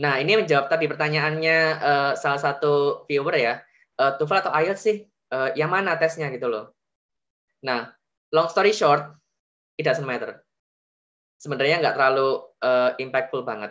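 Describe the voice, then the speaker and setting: A man's bright, sharp tone at a moderate pace, with ordinary pitch variation, long, frequent pauses and a quiet background. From Indonesia. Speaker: veterinary graduate student; webinar presenter. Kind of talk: tutorial. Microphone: video call.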